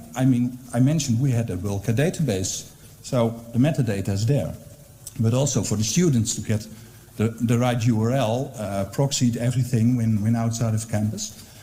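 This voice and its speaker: Pitch varies in an ordinary way, at a moderate pace. There is audible echo in the room. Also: man, medium pitch for a man. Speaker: university librarian. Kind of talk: conference presentation. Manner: hesitant, many fillers.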